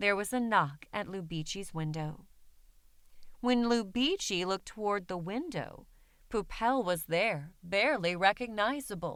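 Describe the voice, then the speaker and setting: This is a woman with an ordinary speaking voice, medium in pitch and lively in intonation. She speaks at a fairly slow pace on a very clean recording with a silent background. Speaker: voice actor. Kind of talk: picture book reading.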